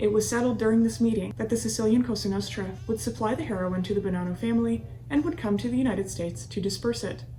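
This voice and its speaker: A woman talking very fast with very wide pitch swings and hardly any pauses, amid audible room echo and noticeable background noise. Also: medium pitch for a woman. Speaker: true crime podcast host. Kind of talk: scripted narration.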